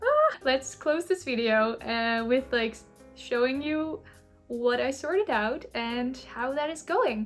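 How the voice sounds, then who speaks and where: Against music in the background, a high-pitched woman talks at a very slow pace with lively intonation. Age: 20s. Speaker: content creator. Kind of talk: casual vlog chat. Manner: rambling, chatty.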